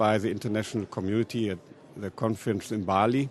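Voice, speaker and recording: A man with a German accent and fairly even intonation. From Germany. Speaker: politician. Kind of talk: panel discussion.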